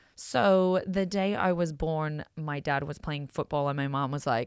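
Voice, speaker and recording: This speaker has an Australian accent, captured in a very clean recording with a silent background. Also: woman. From Australia, small coal-mining town. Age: 30s. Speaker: podcast host. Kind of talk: casual monologue. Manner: many filler words (um).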